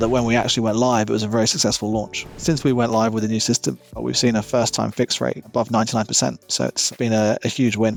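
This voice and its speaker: Against noticeable background noise, a man talks at a very fast pace with hardly any pauses, very even loudness, medium pitch and fairly even intonation. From Australia. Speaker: service manager. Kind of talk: interview answer.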